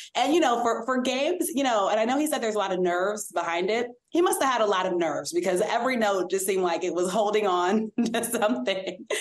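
Over noticeable background noise, a woman with an American accent talks at a very fast pace with a fairly high pitch, very wide pitch swings and very even loudness. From US, partly Deep South (Jackson, Mississippi). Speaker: podcast co-host. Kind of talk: casual chat.

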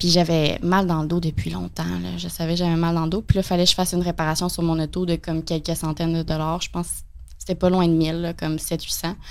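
A woman's fairly low voice, very fast and monotone, with flat intonation. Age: 20s. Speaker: personal finance TV host. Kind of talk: casual chat.

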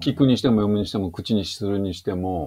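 A fairly low-pitched man talking at a fairly quick pace. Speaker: English teacher. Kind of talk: interview.

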